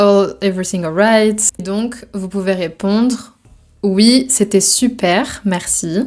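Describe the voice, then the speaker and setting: A woman talks at a very slow pace. Her medium pitch follows fairly even intonation. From Brittany, France. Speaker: French teacher. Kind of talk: language lesson explanation.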